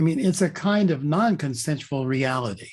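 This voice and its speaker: Very wide pitch swings in a somewhat breathy voice, at a fairly slow pace. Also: man. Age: 70s. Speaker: author and leadership consultant. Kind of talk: interview conversation. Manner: reflective, thoughtful.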